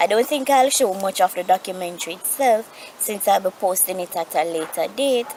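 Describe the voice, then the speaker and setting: A woman's medium-pitched voice at a moderate pace, with ordinary pitch variation and noticeable background noise. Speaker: vlogger living with osteogenesis imperfecta. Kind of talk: casual vlog update. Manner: halting, self-correcting.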